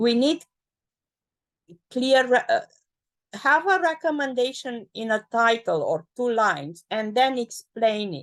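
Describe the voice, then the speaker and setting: A woman with a non-native accent talks at a fairly slow pace with a fairly high pitch and lively intonation. The background is quiet. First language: not English. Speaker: expert reviewer of a document. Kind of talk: feedback session in a work meeting. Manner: animated; halting.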